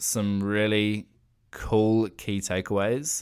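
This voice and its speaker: On a very clean recording with a silent background, a man with a New Zealand accent speaks very slowly in a fairly low pitch. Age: 20s. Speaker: podcaster. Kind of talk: personal monologue.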